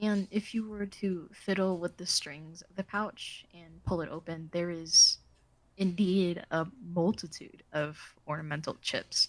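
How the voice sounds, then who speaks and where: Fairly low-pitched and flat, a woman talks in a monotone at a fairly slow pace. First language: not English. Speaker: game master. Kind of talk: tabletop role-play narration. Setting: recorded group session.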